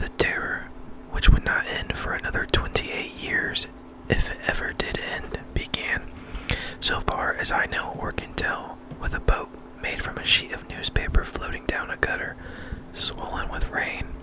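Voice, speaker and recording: Someone is whispering. Noticeable background noise sits behind the voice. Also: moderate pace. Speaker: ASMR reader. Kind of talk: ASMR book reading. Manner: whispered or soft-spoken.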